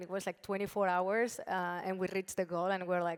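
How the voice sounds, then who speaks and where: On a very clean recording with a silent background, a woman of medium pitch talks at a fairly quick pace in a monotone, flat intonation. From Spain, Barcelona. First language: Spanish. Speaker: brand founder and CEO. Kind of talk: panel discussion.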